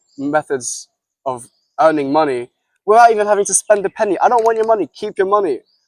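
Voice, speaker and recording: The sound is dry and close with no echo. In it, a man talks in an animated tone. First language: Russian. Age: 20s. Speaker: entrepreneur and podcast host. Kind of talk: casual podcast chat with sales pitch. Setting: outdoors by a pool.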